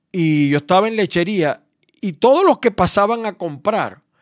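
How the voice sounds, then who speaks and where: With lively intonation and a Maracaibo accent, a man is heard on a very clean recording with a silent background and a dry, close sound free of echo. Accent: Maracaibo (Zulia) Venezuelan. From Venezuela, Maracaibo. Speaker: radio host. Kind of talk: radio opinion commentary.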